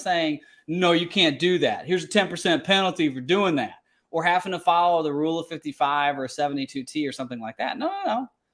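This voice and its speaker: A man with a Kentucky accent talks very fast in a high pitch for a man, his intonation lively, on a very clean recording with a silent background. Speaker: financial planner. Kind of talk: tutorial.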